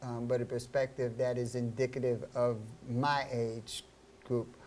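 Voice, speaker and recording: A man talks at a fairly slow pace in a medium pitch, his intonation monotone and flat. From US Northeast, Harlem, New York City. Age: 60s. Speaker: radio host. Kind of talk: talk radio interview. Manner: halting, many fillers.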